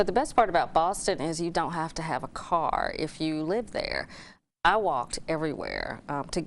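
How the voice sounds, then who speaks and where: Against a quiet background, a woman with a fairly low voice speaks at a moderate pace with ordinary pitch variation. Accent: slight Alabama. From Alabama, Talladega. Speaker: former TV news anchor. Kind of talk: interview.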